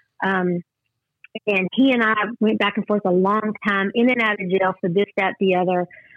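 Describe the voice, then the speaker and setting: In a Texas accent, a woman speaks at medium pitch with fairly even intonation. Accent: Southern US, Texas drawl. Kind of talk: testimony. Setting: phone call.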